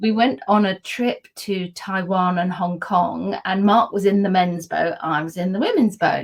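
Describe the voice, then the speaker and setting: A woman with a southern English accent speaks at a fairly slow pace with hardly any pauses, her medium-pitched, somewhat breathy voice showing ordinary pitch variation. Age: 60s. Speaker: PR consultant and wellbeing advocate. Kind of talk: casual interview chat. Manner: animated.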